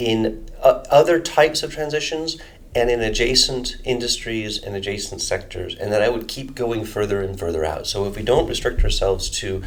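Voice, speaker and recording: A man at a fairly quick pace, in an American accent, with audible room echo. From United States. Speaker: energy modeling researcher. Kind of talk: interview. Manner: halting, many fillers and restarts.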